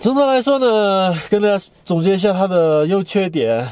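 A man at a moderate pace, dark and mellow in tone, with a dry sound and no echo. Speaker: travel vlogger. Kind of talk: casual vlog chat. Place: car. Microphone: phone near.

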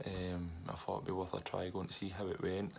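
With a Scottish accent, a man speaks at a moderate pace in a very deep, low voice. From Scotland. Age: 30s. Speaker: professional footballer. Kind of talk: interview. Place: home room. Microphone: webcam.

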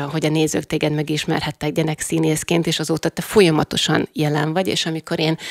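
A woman speaks at a very deep, low pitch in a dry sound with no echo. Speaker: radio host. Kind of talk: interview host intro and question. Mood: warm, friendly. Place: studio. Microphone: studio mic.

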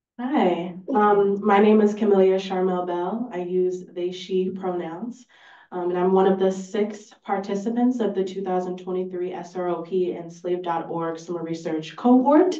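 A woman speaks at a moderate pace with a dark, mellow tone and a fairly low pitch. Her pitch variation is ordinary, and audible room echo surrounds her.

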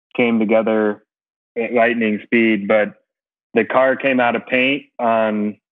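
A man with an American accent speaks at a very slow pace. His intonation stays fairly even against a quiet background. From United States. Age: 40s. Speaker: racing driver and team owner; podcast guest. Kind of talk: casual interview. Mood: friendly, relaxed. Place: home room. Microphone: earbuds.

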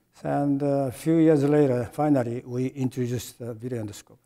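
Against a quiet background, a man with a Japanese accent speaks at a moderate pace. His tone is dark and mellow, with fairly even intonation. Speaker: retired medical device engineer and executive. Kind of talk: interview. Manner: halting, many fillers. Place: studio.

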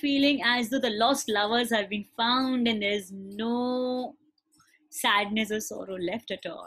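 A woman speaks at a fairly slow pace in a gentle, soothing tone. Her intonation is fairly even, and the background is quiet. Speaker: meditation teacher. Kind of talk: guided heart meditation with spoken affirmations, led to a live class. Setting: live class. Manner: gentle, soothing instructions in short repeated phrases; tender, affectionate, emotionally warm affirmations. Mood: calm, soft, soothing. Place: home room.

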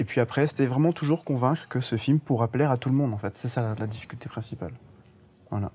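At a very fast pace, a man speaks with a dark, mellow tone, somewhat breathy, with ordinary pitch variation. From Guadeloupe. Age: young. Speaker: animation film director. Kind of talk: interview. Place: hall.

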